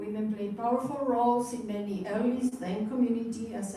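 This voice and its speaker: Audible room echo can be heard in this clip. The speaker is a woman. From Argentina. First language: Spanish. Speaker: retired teacher giving a Dharma talk. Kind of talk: Dharma talk.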